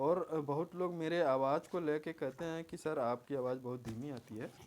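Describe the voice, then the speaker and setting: This man's fairly high pitch moves with ordinary variation. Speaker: exam coaching teacher. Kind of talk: tutorial. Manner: quiet, moderate volume.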